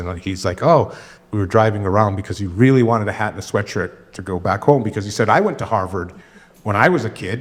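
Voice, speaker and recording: This man has a plain, everyday voice, fairly low in pitch, and talks at a fairly quick pace. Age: 60s. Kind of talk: panel Q&A discussion. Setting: church screening with audience.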